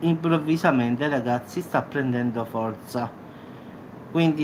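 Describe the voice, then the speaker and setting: A man speaks with ordinary pitch variation. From Salerno, southern Italy. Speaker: YouTube news commentator. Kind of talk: casual talk to camera.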